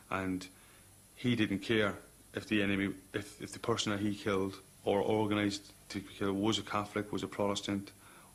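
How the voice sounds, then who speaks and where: With a Cork accent, a man talks at a fairly quick pace in a fairly low pitch, his intonation monotone and flat, with long, frequent pauses. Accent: Cork Irish. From Ireland, Cork. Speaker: soldier. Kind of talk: documentary interview. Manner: halting.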